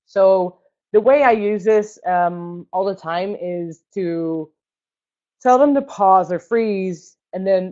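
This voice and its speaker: A woman with a non-native accent speaks at medium pitch with ordinary pitch variation. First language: not English. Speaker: roller derby coach. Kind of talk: online seminar presentation. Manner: casual, many fillers.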